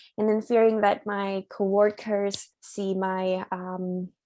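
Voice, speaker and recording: A woman speaks at a medium pitch with a non-native accent, her tone dark and mellow and her intonation fairly even. The recording is very clean with a silent background. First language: not English. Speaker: migraine patient sharing experience. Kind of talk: support group sharing. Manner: hesitant.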